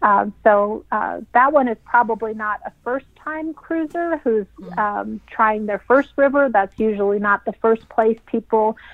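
Using a plain, everyday voice, a woman speaks at a fairly slow pace and fairly high pitch, with ordinary pitch variation and hardly any pauses. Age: 40s. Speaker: travel company managing director. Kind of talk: interview.

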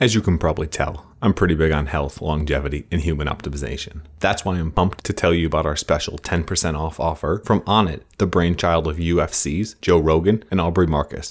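With a very deep, low pitch and fairly even intonation, a man talks at a fairly quick pace. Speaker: podcast host. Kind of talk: interview.

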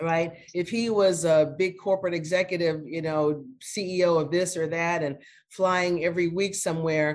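A woman with an American accent has an unremarkable speaking voice and a fairly low pitch. She speaks at a moderate pace with fairly even intonation. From US Midwest, Phoenix, Illinois. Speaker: retired corporate executive and board director. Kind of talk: interview.

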